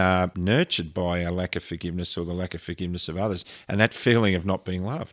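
A man with an Australian accent and a very deep, low pitch talks at a fairly quick pace with fairly even intonation, in a dry, close, echo-free and very clean recording with a silent background. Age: 60s. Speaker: podcast co-host, pilot and counsellor. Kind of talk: casual chat.

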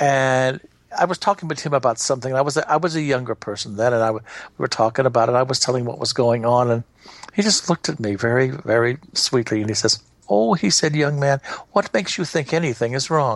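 His words come out very fast. This man's voice has a medium pitch. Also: ordinary pitch variation. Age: 70s. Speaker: spiritual counselor. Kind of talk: interview.

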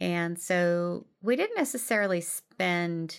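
Recorded very cleanly against a silent background, a woman talks with a slight Midwestern accent. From US Midwest. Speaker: life coach podcast host. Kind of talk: solo podcast talk from notes. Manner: casual with frequent fillers.

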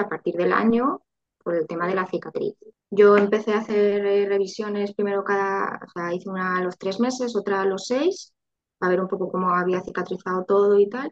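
A woman with an ordinary speaking voice, medium pitch, moderate pace and fairly even intonation. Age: 30s. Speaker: IVF patient sharing her story. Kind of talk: interview testimony.

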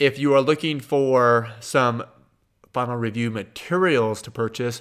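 The speaker is a man with a Kansas accent. His pitch is medium. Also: very clean recording, silent background. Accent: Kansas twang, Midwestern American. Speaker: podcast host and accountant answering exam questions. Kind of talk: listener Q&A advice podcast.

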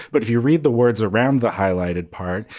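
In a very clean recording with a silent background, a man uses an unremarkable speaking voice at a medium pitch with ordinary pitch variation. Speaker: podcast co-host. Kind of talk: comedy podcast banter with sketch bits.

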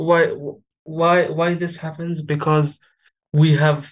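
A man with an Arabic accent speaks at a fairly slow pace. His fairly high voice stays monotone and flat. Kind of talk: interview.

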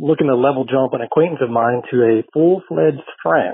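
A man with an American accent and a normal speaking voice talks at a fairly quick pace, his fairly high pitch showing ordinary variation. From Colorado, US. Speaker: listener caller. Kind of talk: recorded voicemail question.

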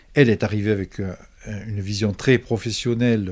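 The recording is very clean, with a silent background. A man with a fairly low pitch talks at a very slow pace. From Provence, France. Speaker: musician and composer. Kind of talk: interview. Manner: halting, repeats words.

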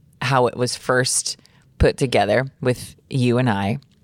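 In a dry, close sound with no echo, a woman with a very deep, low pitch talks at a fairly slow pace. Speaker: podcast host. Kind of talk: casual chat.

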